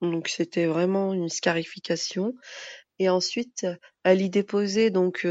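Her intonation fairly even, a woman speaks at medium pitch. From France, Moroccan Berber family. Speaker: interview guest. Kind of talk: interview. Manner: hesitant, many fillers.

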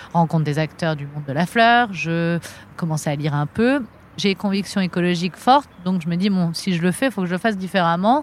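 With a plain, everyday voice, a woman talks at a fairly quick pace and a fairly low pitch, with lively intonation. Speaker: florist and shop owner. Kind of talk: interview. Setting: outdoors in a botanical garden.

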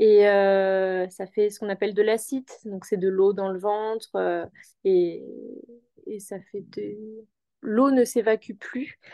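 The voice moves at a very slow pace with big swings in loudness. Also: woman, medium pitch for a woman, fairly even intonation. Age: 20s. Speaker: mother sharing birth story. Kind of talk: personal testimony interview. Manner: calm, measured; hesitant, many fillers.

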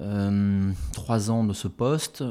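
A man with a fairly low pitch speaks in a dark, mellow tone. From Brittany, Finistère. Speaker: company CEO. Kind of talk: interview. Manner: hesitant with frequent fillers.

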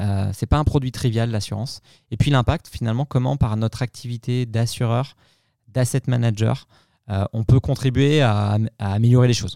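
In a very clean recording with a silent background and a dry, close sound with no echo, a man talks at a moderate pace with a medium pitch and a dark, mellow tone. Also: fairly even intonation. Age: 40s. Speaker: marketing executive. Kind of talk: interview. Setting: on location at a company venue. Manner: hesitant, many repeated words.

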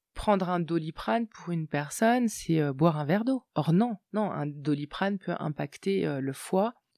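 A woman's dark, mellow tone at a fairly slow pace with lively intonation, on a very clean recording with a silent background and a dry, close sound with no echo. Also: fairly low pitch for a woman. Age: 40s. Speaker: psycho-body coach. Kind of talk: interview testimony.

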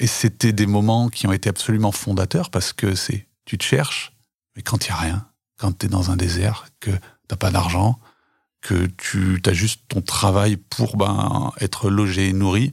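The man's voice is fairly low and somewhat breathy. He speaks at a fairly slow pace with fairly even intonation. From France, Haute-Loire (rural Auvergne). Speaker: co-founder of shared housing for elderly people. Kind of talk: casual interview. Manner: talkative, hesitant with fillers.

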